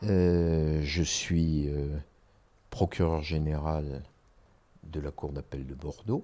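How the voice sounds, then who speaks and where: Very slowly and with long, frequent pauses, a man speaks in a very deep, low pitch with a dark, mellow tone and fairly even intonation. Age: 60s. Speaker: public prosecutor. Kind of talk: interview. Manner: hesitant, many fillers.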